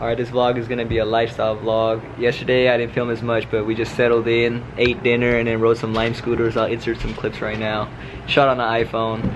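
An American-accented man at a medium pitch amid noticeable background noise. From US West Coast, San Francisco Bay Area; US West Coast. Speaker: car vlogger; vlogger. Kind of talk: casual vlog narration. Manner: animated.

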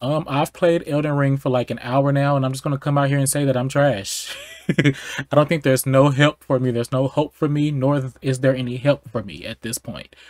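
Speech comes at a fairly quick pace with fairly even intonation, in a dry sound with no echo against a quiet background. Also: man. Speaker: gaming streamer. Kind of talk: casual gameplay commentary. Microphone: headset.

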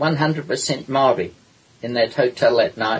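A man with a fairly high pitch speaks very slowly in a New Zealand accent. Noticeable background noise runs behind him. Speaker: historian and author. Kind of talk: interview.

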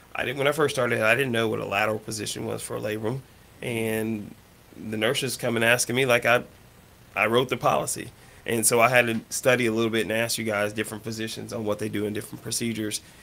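A man with an American accent, very fast pace, bright and sharp tone, and monotone, flat intonation. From Oklahoma. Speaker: surgical assistant, youth gymnastics coach; youth gymnastics coach. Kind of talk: casual radio interview; interview answer. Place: home room.

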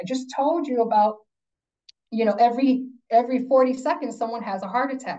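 Her voice is high-pitched with a dark, mellow tone and ordinary pitch variation. The woman keeps a moderate pace against a quiet background. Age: 50s. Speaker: workplace consultant and wellness speaker. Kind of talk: lecture. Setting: video call. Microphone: video call.

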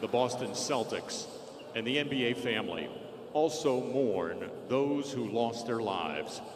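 A man speaks at a fairly slow pace. Noticeable background noise is present. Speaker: arena public address announcer. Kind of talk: public address announcement at a basketball arena. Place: stadium.

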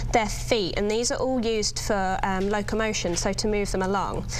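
Music plays in the background while the woman talks. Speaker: guest. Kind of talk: interview answer. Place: studio. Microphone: lapel.

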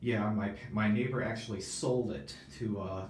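A man with a fairly low voice speaks over light background noise, and the room echo can be heard. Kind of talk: casual vlog chat. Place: bathroom.

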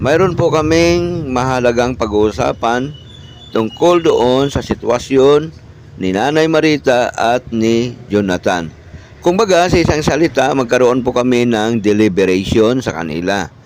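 A man's medium-pitched voice with lively intonation, at a fairly slow pace, against noticeable background noise. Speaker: vlogger. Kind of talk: vlog narration update.

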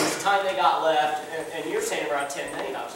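A man at a fairly quick pace, with strong room echo and light background noise. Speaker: pastor. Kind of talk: sermon. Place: church.

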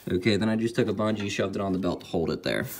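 A man speaks with a fairly low pitch. Noticeable background noise can be heard. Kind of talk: tutorial. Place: garage.

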